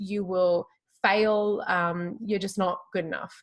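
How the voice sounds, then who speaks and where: A woman speaks with an Australian accent. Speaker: tarot reader. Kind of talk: interview conversation.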